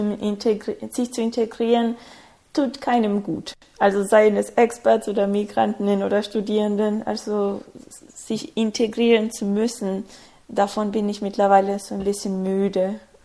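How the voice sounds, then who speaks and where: A woman talks in a Spanish accent. Her pace is fairly slow. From Ecuador, small conservative town. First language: Spanish (speaking German). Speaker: student and international organization employee. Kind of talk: casual interview.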